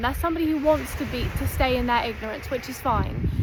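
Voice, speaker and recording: There is noticeable background noise as a woman talks at a fairly quick pace. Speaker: self-development content creator. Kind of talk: direct-to-camera talk. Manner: emphatic, repetitive.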